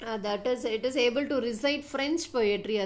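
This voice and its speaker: High-pitched woman's voice with audible room echo. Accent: Tamil. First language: Tamil. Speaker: English teacher. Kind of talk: lecture. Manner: slow.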